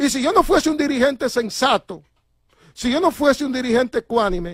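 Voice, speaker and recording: Speaking at a fairly quick pace with lively intonation and an animated tone, the voice comes through dry and close with no echo on a very clean recording against a silent background. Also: man. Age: 60s. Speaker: transport union leader. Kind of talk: interview.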